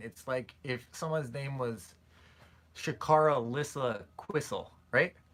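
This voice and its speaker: Mumbling, a man talks in a bright, sharp tone at a medium pitch with ordinary pitch variation. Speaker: streamer answering viewer questions. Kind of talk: live stream Q&A chat. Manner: fast.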